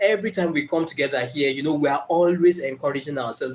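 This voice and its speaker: A somewhat breathy man with a fairly high voice talks at a fairly quick pace with a Nigerian accent. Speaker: motivational speaker. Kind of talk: live stream talk. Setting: live stream. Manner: hesitant, many fillers.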